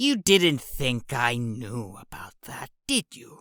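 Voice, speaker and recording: Growling in a put-on character voice, a man speaks very slowly at a medium pitch with lively intonation, the sound dry and close with no echo. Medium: read story. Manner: haughty, clipped, disdainful.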